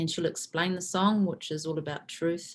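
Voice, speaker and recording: A woman speaks at a fairly low pitch. Her intonation stays fairly even. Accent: New Zealand. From New Zealand. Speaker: spiritual teacher and event host. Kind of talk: online event hosting. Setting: video call.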